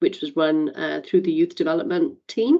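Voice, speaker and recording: A woman speaks in a Welsh accent. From Wales. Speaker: community advisory council member. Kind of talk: meeting introduction.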